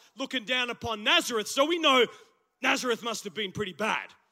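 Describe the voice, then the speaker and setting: In a very clean recording with a silent background, a man with an Australian accent projects a raised voice with a bright, sharp tone and lively intonation. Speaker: pastor. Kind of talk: sermon. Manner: animated.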